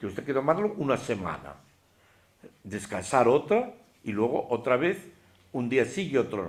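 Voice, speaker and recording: At a moderate pace and medium pitch, a man talks with very wide pitch swings and long, frequent pauses. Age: 70s. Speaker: religious teacher. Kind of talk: lecture. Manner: animated.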